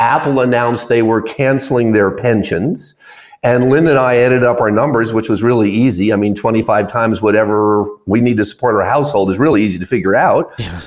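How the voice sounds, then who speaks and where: Here is a man with a plain, everyday voice at a medium pitch. He talks at a fairly quick pace with ordinary pitch variation. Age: 60s. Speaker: business founder and author. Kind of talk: radio interview. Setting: studio.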